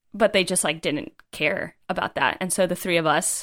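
A woman speaks with an American accent, at medium pitch and a moderate pace. It is a plain, everyday voice with ordinary pitch variation. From US East Coast. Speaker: writer and climber. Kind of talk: casual interview.

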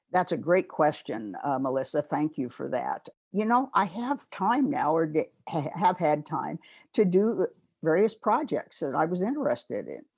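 With very wide pitch swings and a medium pitch, a woman speaks at a moderate pace in a Pacific Northwest accent on a very clean recording with a silent background. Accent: General American, Pacific Northwest. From US, northeastern Oregon. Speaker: retired pharmacy director and professor. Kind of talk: interview conversation.

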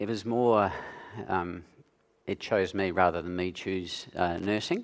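Speaking very slowly with an Australian accent, a man uses a fairly low pitch. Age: 60s. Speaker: nurse. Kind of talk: interview on stage in church. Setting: church stage with audience.

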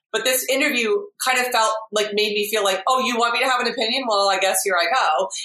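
A woman's bright, sharp voice, fairly high in pitch, with ordinary pitch variation, very even loudness and a very fast pace, in audible room echo. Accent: American. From United States, raised by English parents. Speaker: podcast guest. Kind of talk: casual chat. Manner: animated.

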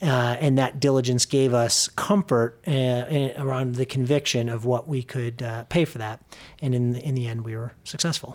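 Speaking in an American accent, a man uses fairly even intonation at a medium pitch, in an unremarkable speaking voice. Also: moderate pace. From US Midwest, Chicago suburbs. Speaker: real estate company president. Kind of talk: interview. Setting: office.

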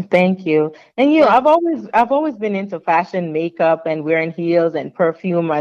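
A woman's unremarkable speaking voice with an American accent, lively intonation and a fairly quick pace. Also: fairly low pitch for a woman. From Jamaica, then the Bronx, New York from age 13. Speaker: author, navy veteran and corporate recruiter. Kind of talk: interview.

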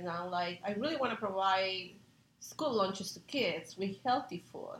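A woman's medium-pitched voice in a Spanish accent, at a moderate pace, with ordinary pitch variation. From Peru. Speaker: chef. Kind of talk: interview.

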